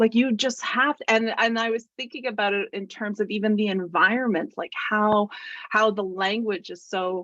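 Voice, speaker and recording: A loud woman with a bright, sharp tone, fairly high pitch, and moderate pace. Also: ordinary pitch variation. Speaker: online session host. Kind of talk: casual talk in a group video call. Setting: video call. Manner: hesitant, many fillers and restarts.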